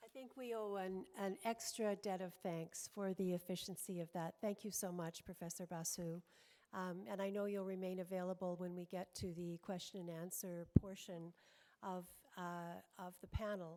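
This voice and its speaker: A woman speaks at medium pitch with a dark, mellow tone. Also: fairly even intonation, moderate pace. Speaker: parliamentarian, panel co-chair. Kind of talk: panel moderation.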